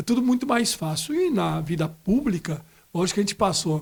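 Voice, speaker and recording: The speaker is a man. He talks at a moderate pace. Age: 60s. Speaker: city councillor. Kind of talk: podcast interview. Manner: halting, with many repetitions.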